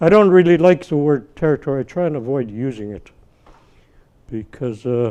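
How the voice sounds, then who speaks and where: Speaking at a moderate pace with long, frequent pauses, a man with a fairly high pitch and a dark, mellow tone shows lively intonation and big swings in loudness. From Northern British Columbia, Canada (First Nations community). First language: Tsimshian. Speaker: First Nations elder. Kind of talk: talk to an audience. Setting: university event with audience. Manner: halting, many restarts.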